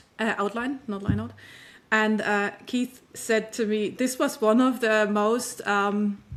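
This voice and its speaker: A woman with a non-native accent speaks very slowly in a fairly high voice with fairly even intonation. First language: not English. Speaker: author. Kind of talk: interview. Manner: halting.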